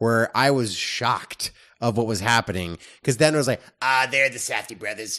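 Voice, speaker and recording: Against a quiet background, a man talks in a plain, everyday voice at medium pitch and a moderate pace. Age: 30s. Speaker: film reviewer podcast co-host. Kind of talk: casual chat.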